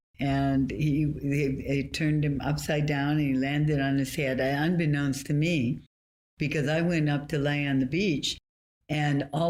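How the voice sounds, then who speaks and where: Speaking at a moderate pace, a woman with an American accent has a very deep, low pitch. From Southern California. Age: 80s+. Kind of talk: interview answer. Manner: lively, articulate.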